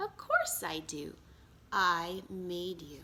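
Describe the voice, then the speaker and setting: A woman's put-on character voice at a medium pitch. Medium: read story. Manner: warm and kind.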